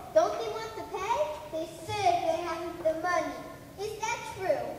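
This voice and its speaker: A put-on character voice amid clear background noise and strong echo. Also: moderate pace. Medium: stage play. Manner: polite, persuasive.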